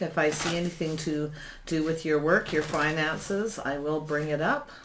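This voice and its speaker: The voice has a calm tone, with noticeable background noise behind it. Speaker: tarot reader. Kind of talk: tarot reading. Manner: slow.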